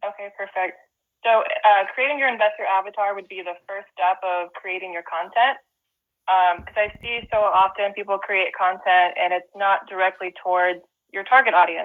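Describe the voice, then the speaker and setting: A woman's plain, everyday voice with an American accent, medium pitch, ordinary pitch variation, big swings in loudness and a moderate pace. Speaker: real estate investor and presenter. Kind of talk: webinar presentation.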